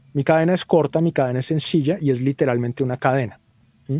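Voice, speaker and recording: A man speaks at a fairly quick pace in a dark, mellow tone, his medium pitch and fairly even intonation caught in a dry, close sound with no echo. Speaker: mastering engineer. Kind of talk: webinar lecture.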